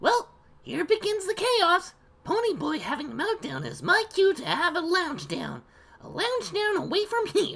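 An extremely high-pitched, put-on character voice delivered at a moderate pace

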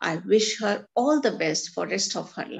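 A woman speaks at a moderate pace in an Indian accent. The background is quiet. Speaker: teacher. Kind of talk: reading aloud. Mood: warm, appreciative. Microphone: video call.

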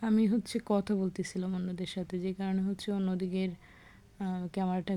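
This woman's medium-pitched voice has a dark, mellow tone and a monotone, flat intonation. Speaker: vlogger. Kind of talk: casual vlog narration. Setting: outdoors, walking in village.

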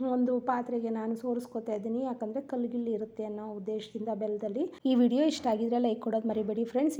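This woman's fairly high voice has a dark, mellow tone and fairly even intonation. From rural Karnataka. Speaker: cooking vlogger. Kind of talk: cooking tutorial.

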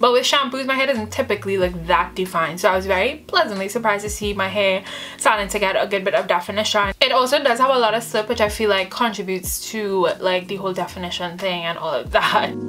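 A woman's upbeat voice at medium pitch, fairly quick, with ordinary pitch variation and music in the background. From Trinidad and Tobago. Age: 20s. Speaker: beauty and hair vlogger. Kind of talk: casual talk to camera.

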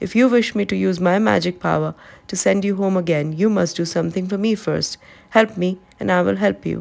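The pitch changes in an ordinary way across a natural reading voice.

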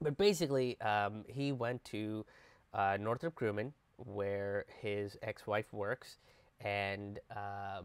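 A man with a fairly low pitch and ordinary pitch variation is heard in a dry recording with no echo. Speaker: comedian commentator. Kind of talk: casual commentary. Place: home room. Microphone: earbuds.

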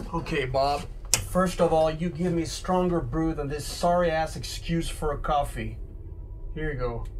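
A gruff, put-on character voice from a man, fairly high in pitch, at a moderate pace, with clear background noise. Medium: audio drama. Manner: gruff, blunt, tired.

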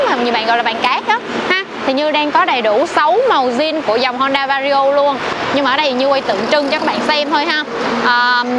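Over loud background noise, a woman talks at a fairly quick pace with ordinary pitch variation, the sound dry with no echo. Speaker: motorbike shop saleswoman. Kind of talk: product review presentation. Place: shop. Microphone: lapel.

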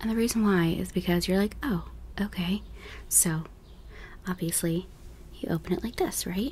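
A soft-spoken woman is talking. Light background noise sits behind her. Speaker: beauty content creator. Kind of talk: casual vlog chat. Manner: soft-spoken, close-mic, mildly annoyed. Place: home room. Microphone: studio mic.

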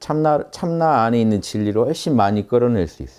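A man speaks at a moderate pace with a dark, mellow tone. His pitch sits in the medium range and swings very widely. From South Korea. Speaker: meditation and philosophy teacher; lecturer on spiritual practice. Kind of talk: lecture. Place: classroom.

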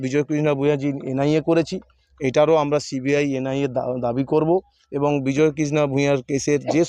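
Monotone, flat intonation from a man with a fairly high-pitched voice. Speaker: politician. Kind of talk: press statement.

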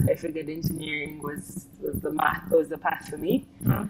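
Over noticeable background noise, a woman with a very deep, low pitch speaks at a moderate pace. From Uganda. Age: young. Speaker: investment banker; guest. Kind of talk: interview. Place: car. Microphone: lapel.

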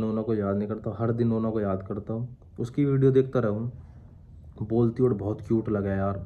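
This man talks at a fairly slow pace with hardly any pauses, his medium pitch held to a fairly even intonation. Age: 20s. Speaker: vlogger. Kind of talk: casual Q&A vlog. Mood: sad, reflective. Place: home room. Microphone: phone near.

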